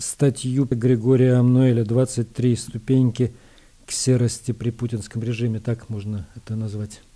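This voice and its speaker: A dark, mellow tone at a fairly slow pace. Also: man. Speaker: radio host. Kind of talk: radio news program. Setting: studio. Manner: formal.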